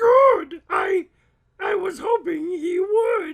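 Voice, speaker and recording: A put-on character voice with an extremely high pitch. It moves at a very slow pace with ordinary pitch variation. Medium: read story. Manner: hesitant, stammering.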